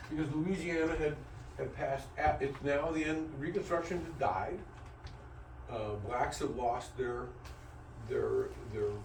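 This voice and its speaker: With noticeable background noise and audible room echo, a man speaks at a fairly slow pace and a fairly high pitch, with lively intonation and long, frequent pauses. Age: 70s. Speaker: teacher. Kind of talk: lecture. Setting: classroom. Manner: halting, with frequent repetitions.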